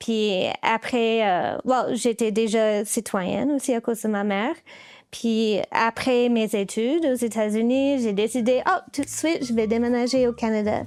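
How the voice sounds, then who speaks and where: With an English accent, a woman talks at a fairly slow pace and a very even loudness. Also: fairly high pitch for a woman, ordinary pitch variation. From US, Baltimore, Maryland. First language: English (speaking French). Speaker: puppeteer. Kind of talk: interview. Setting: her workshop. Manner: halting, many fillers.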